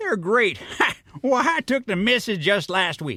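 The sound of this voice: A man speaks in a put-on character voice, high-pitched with a bright, sharp tone, at a fairly slow pace with big pitch swings.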